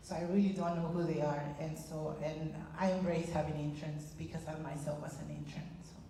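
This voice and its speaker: With audible room echo and noticeable background noise, a woman with a very deep, low pitch talks in a monotone, flat way at a fairly quick pace, with hardly any pauses and big swings in loudness. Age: 40s. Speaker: social work field instructor. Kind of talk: audience comment in workshop. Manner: hesitant, many fillers.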